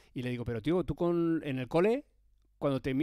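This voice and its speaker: Against a quiet background, a man speaks in a dark, mellow tone, the sound dry with no echo. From Spain. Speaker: motorsport presenter and streamer; presenter, streamer. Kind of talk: live-stream interview. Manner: animated. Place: home room. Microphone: headset.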